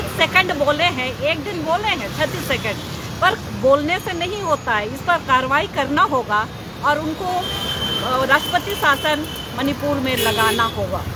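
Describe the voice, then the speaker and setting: Against noticeable background noise, a woman raises and projects her high-pitched voice with lively intonation. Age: 70s. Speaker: protester. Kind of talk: street interview.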